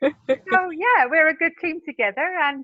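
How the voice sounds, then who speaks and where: A woman with a British accent talks at a fairly slow pace. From Britain. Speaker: vegan B&B owner. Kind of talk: interview.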